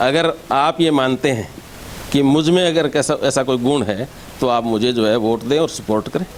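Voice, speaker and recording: There is noticeable background noise as a man speaks at a medium pitch with ordinary pitch variation. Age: 60s. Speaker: local election candidate, retired education officer. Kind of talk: interview.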